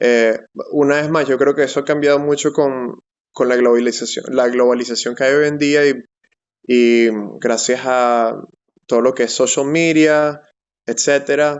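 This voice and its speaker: A fairly high-pitched man speaks at a fairly slow pace in a monotone, flat intonation. Long pauses come often. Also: very even loudness. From Venezuela, Caracas. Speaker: software/STEM professional. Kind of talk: interview. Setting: live stream.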